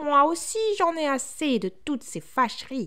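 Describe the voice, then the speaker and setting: A high-pitched, put-on character voice at a moderate pace. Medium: read story. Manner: calm, tranquil.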